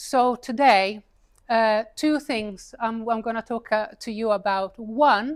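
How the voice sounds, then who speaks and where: With an Italian accent, a woman speaks on a very clean recording against a silent background. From Italy. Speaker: paid advertising consultant and speaker. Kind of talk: talk to a live audience. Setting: stage with audience, seated. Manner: casual, conversational.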